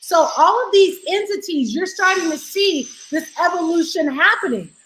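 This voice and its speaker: An extremely high-pitched woman's voice with an animated tone, lively intonation and a moderate pace, set against noticeable background noise. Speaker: financial educator, live streamer. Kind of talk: casual live stream talk. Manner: loud.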